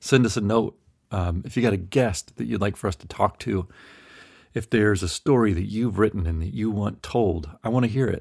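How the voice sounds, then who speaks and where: A man talks at a moderate pace in a plain, everyday voice. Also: fairly low pitch for a man, ordinary pitch variation. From US South, Memphis. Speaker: podcast host. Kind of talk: casual chat. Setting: video call.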